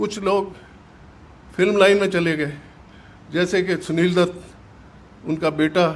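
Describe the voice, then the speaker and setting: A man with a high pitch speaks using fairly even intonation. He takes long, frequent pauses. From Punjab, Pakistan (Jhelum district). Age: 80s+. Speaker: partition survivor, businessman. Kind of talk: testimony. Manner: halting.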